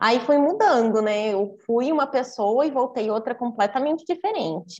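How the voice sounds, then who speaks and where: Here a woman talks with lively intonation. Her pitch is high. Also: moderate pace. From Brazil. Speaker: podcast guest, traveler. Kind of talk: casual interview chat.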